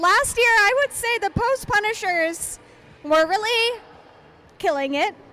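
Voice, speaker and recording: Raised and projected, a woman's shrill, extremely high voice has lively intonation and very even loudness. She goes at a fairly slow pace with long, frequent pauses, over noticeable background noise. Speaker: roller derby announcer and skater. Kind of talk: live commentary.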